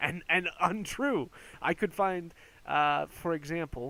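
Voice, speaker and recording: A man's bright, sharp tone with an American accent. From United States. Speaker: youtuber. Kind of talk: casual commentary. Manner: hesitant, many fillers and restarts.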